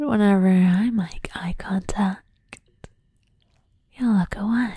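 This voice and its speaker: Whispering and soft-spoken at a very slow pace, the voice comes through dry with no echo over a quiet background. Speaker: voice actor playing a character. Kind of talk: intimate roleplay monologue to the listener. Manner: soft teasing whisper, possessive character.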